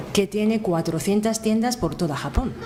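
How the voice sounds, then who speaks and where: Female speech in audible room echo, its pitch varying in an ordinary way. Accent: Japanese. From Japan. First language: Japanese (speaking Spanish). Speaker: event presenter. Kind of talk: speech introducing a lecture. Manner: halting, with hesitations.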